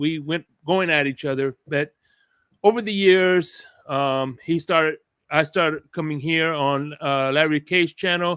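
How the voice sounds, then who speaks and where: Recorded with a dry, close sound and no echo, a man talks fairly slowly at a fairly high pitch. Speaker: sports podcast host. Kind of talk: casual chat. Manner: loud; animated.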